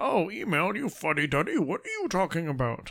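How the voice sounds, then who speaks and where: A man does a put-on character voice in a high pitch, speaking at a fairly quick pace over light background noise. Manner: mocking, incredulous.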